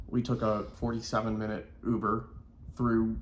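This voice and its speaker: At a fairly slow pace, a man with an American accent talks at a medium pitch, with audible room echo. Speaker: vlogger. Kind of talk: casual chat.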